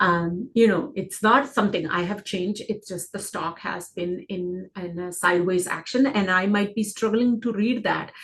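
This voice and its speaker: A woman speaks at a moderate pace and a medium pitch, with ordinary pitch variation. Her voice is somewhat breathy. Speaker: stock trading educator. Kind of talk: market analysis screen-share tutorial. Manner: casual, filler-heavy.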